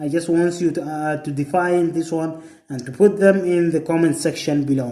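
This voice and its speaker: This man's voice sits high in pitch. He speaks at a moderate pace. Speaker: English teacher. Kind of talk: tutorial. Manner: halting.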